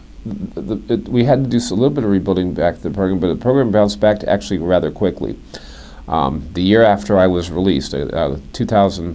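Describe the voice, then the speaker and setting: This man talks at a fairly quick clip with lively intonation and vocal fry. His pitch is very deep and low, and his tone is dark and mellow. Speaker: high school speech and debate coach. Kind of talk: interview answer, recounting his history.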